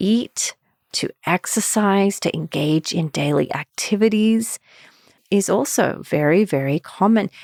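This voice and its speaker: A woman with a calm tone and medium pitch speaks at a fairly slow pace with lively intonation on a very clean recording with a silent background. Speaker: marriage and family therapist, anxiety specialist. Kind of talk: podcast talk. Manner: calm, centered.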